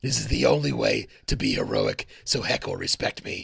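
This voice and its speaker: A man puts on a raspy character voice with a very deep, low pitch, moving at a moderate pace. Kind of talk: comic overacting. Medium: actual play. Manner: brash, eager.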